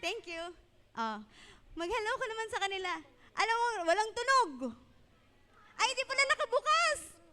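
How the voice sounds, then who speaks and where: A woman speaks at an extremely high pitch in a raised, projected voice, animated and bright with a sharp edge. Her intonation is lively, her pace moderate, and she leaves long, frequent pauses. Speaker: children's event host. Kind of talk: kids' event hosting. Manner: loud.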